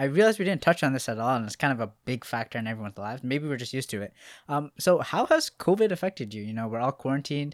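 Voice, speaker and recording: A man with a medium-pitched voice talks at a very fast pace with lively intonation, in a dry, close recording with no echo. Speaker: podcast host. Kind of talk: casual chat. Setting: studio, guests join remotely.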